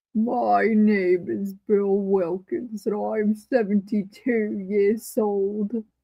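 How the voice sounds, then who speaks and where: A female-sounding, put-on character voice with a British accent is pitched fairly high. It moves at a very slow pace with hardly any pauses. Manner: creepy.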